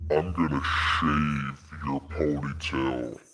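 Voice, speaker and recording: A man uses a put-on character voice, very deep and low in pitch and raspy. He speaks at a very slow pace. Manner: soft, not very menacing.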